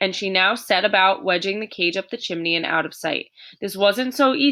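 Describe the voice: What's heard is plain reading aloud.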